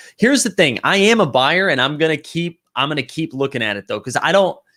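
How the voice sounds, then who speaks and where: On a very clean recording with a silent background, a man with a Boston accent talks at a fairly quick pace in an animated tone with lively intonation. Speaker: livestream host, NBA Top Shot collector. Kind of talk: casual livestream talk reading chat comments.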